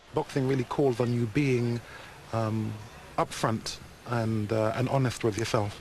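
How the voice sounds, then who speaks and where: A man's voice of medium pitch, moderately paced and fairly even in intonation, over noticeable background noise. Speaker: retired boxer. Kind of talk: interview answer.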